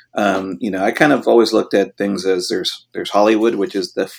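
A man with a Californian accent, very deep and low in pitch, at a fairly quick pace on a very clean recording with a silent background. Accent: Californian American. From Los Angeles. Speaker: DJ. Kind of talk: interview.

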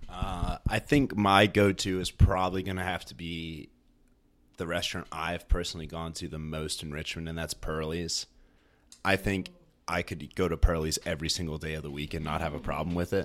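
Fairly even intonation and a moderate pace mark this voice with an American accent, captured in a very clean recording with a silent background. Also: man, very deep, low pitch for a man. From Northern Virginia. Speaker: chef. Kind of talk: casual chat.

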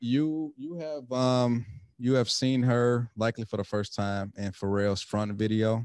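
With a normal speaking voice, a man talks at a fairly slow pace and medium pitch, with ordinary pitch variation and a dry, close sound with no echo. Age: 40s. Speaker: podcast host. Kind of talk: casual chat.

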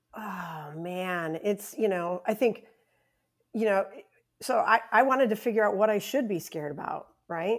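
A woman speaks in an ordinary speaking voice at a medium pitch, with a moderate pace and ordinary pitch variation. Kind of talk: casual podcast chat.

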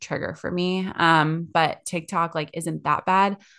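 A woman speaks at a moderate pace with a fairly low pitch and a plain, everyday voice. The background is quiet. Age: 30s. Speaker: podcast co-host, social media director. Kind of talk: casual chat. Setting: recording at home in bathroom.

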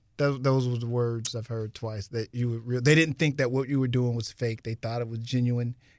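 With an American accent, a man speaks at a fairly quick pace and medium pitch in a very clean recording with a silent background. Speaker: radio host and rapper. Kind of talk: casual interview. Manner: animated.

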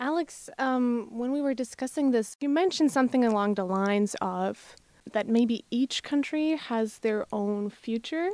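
A woman speaks in a high voice with a Slovak accent and ordinary pitch variation. Her pace is moderate, and the background is quiet. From Slovakia. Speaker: international student. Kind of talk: academic discussion. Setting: studio. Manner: halting.

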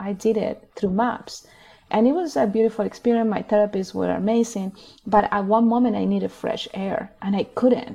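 A woman with a Spanish accent, fairly high in pitch, at a moderate pace with fairly even intonation. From Chile. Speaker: healing circle facilitator and activist. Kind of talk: interview conversation.

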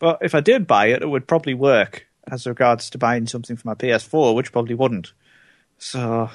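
A man at a medium pitch with a British accent, ordinary pitch variation and a fairly quick pace over a quiet background. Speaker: returning podcast co-host. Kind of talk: casual chat.

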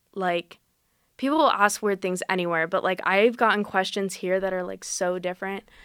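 In a very clean recording with a silent background, a woman with an American accent uses a plain, everyday voice at a medium pitch with ordinary pitch variation. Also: moderate pace. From Las Vegas, Nevada. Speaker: journalism student. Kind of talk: interview. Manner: casual, lots of filler words.

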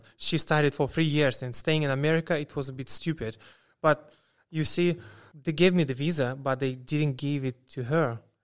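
On a very clean recording with a silent background, a man speaks with a Russian accent. His pitch is fairly high, his pace moderate and his intonation fairly even. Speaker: student. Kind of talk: casual interview storytelling.

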